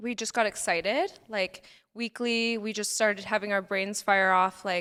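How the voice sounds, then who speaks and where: At a moderate pace, a woman with a plain, everyday voice speaks at a medium pitch with fairly even intonation, in a very clean recording with a silent background. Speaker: nurse injector and podcaster. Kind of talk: casual chat.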